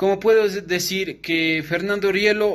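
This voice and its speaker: Intonation fairly even, a man talks at a very slow pace. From Ecuador, Carchi province (Tulcán); Carchi province, Ecuador. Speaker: law student; student or commentator. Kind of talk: recorded class assignment. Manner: formal. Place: home room. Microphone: phone near.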